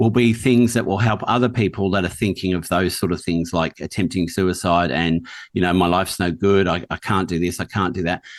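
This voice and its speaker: A man with a very deep, low pitch speaks at a fairly quick pace with ordinary pitch variation and hardly any pauses, over a quiet background. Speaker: podcast host. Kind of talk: interview conversation.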